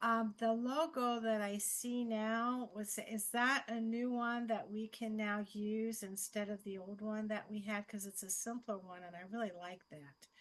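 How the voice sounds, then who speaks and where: Using a normal speaking voice, a woman with a fairly high pitch speaks fairly slowly with fairly even intonation and hardly any pauses. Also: big swings in loudness. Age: 60s. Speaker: yoga teacher and program graduate. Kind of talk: question on video call.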